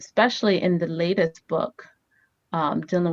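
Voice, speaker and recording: A woman's fairly low voice with a Haitian accent. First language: Haitian Creole. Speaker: family therapist and author. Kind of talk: interview. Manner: hesitant, many fillers.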